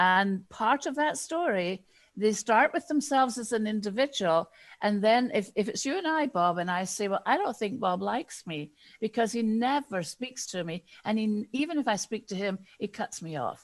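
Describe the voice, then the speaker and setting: A woman speaks with a Scottish accent at a fairly high pitch and lively intonation. Her pace is moderate, and the background is quiet. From Scotland. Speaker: diversity and inclusion consultant. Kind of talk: interview.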